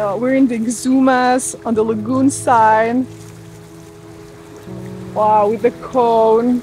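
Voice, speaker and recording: The sound is dry with no echo, and music plays in the background. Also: woman. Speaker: sailing vlogger. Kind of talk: casual vlog chat. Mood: cheerful, excited. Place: boat. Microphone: phone near.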